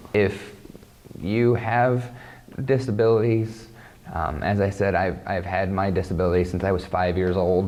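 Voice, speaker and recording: Through audible room echo, a man talks with a Midwestern US accent. His pitch is fairly low, his pace fairly slow and his intonation fairly even. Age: 30s. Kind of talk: interview testimony. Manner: halting, repeats words.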